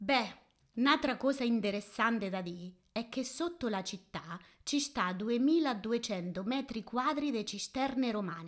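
Lively intonation marks this high-pitched woman speaking at a fairly slow pace. The recording is very clean, with a silent background. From Marche, Italy (Fermo). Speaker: interviewee speaking dialect. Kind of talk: interview answers in dialect.

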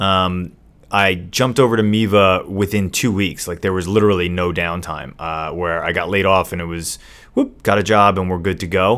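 Over a silent background in a very clean recording, a man speaks with a very deep, low pitch and fairly even intonation. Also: moderate pace. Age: 40s. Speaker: podcast co-host and entrepreneur. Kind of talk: casual chat.

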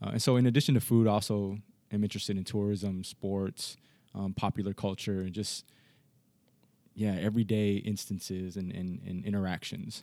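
A man with a Californian accent speaks at a moderate pace, his fairly low voice dark and mellow in tone. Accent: Californian American. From US, Los Angeles. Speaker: history professor. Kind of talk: interview conversation.

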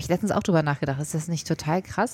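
Speaking very fast, a woman uses a fairly low pitch. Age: 30s. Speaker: podcast co-host. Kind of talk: casual chat.

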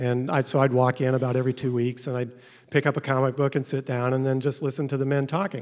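A man with a medium pitch speaks very fast with a Midwestern American accent. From US Midwest (Carlinville, Illinois). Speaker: storyteller. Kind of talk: personal storytelling. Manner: hesitant with fillers.

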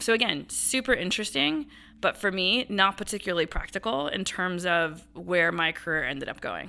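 Bright and sharp in tone, a woman's medium-pitched voice moves with lively intonation on a very clean recording with a silent background. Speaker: general counsel. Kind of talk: casual interview. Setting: office. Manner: fast talker; straightforward, profane.

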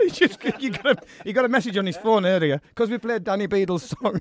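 Dry and close with no echo, a man at high pitch and a fairly quick pace, with ordinary pitch variation. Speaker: radio host. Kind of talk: radio dj patter. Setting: radio studio. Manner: bantering, chatty.

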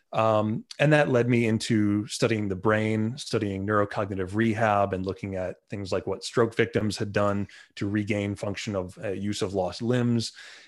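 In a New York accent, the voice moves at a moderate pace with fairly even intonation and hardly any pauses over a quiet background. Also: man, fairly low pitch for a man. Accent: New York American. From Long Island, New York. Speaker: neuroplasticity coach. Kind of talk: interview.

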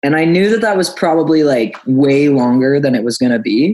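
A man speaks in an ordinary speaking voice, fairly high in pitch, with ordinary pitch variation. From Nova Scotia, Canada. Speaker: singer-songwriter. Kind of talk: casual chat.

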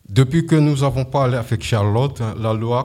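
The voice has a dark, mellow tone and ordinary pitch variation at a fairly slow pace. The recording is very clean, with a silent background. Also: man. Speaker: amateur radio host, French learner. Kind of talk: scripted radio presenting. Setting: stage with audience.

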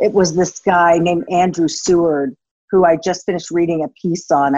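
In an American accent, a woman with a normal speaking voice talks at a fairly quick pace and fairly low pitch, recorded dry and close with no echo. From United States. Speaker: former TV journalist and blogger. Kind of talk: casual interview conversation.

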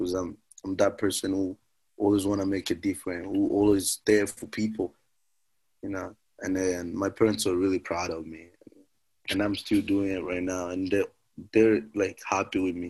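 This man talks at a moderate pace in a fairly low pitch, his intonation monotone and flat, against a quiet background. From Malawi refugee camp. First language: not English. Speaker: former refugee and activist. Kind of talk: personal storytelling. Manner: halting.

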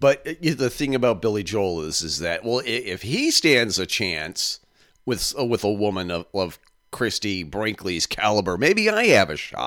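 An ordinary speaking voice, with lively intonation at a moderate pace, comes through in a very clean recording with a silent background. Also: man, fairly low pitch for a man. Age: 50s. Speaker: podcast host. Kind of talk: casual chat.

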